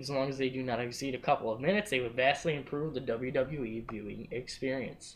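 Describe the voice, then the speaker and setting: A man is talking very fast. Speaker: wrestling podcast host. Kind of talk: casual chat.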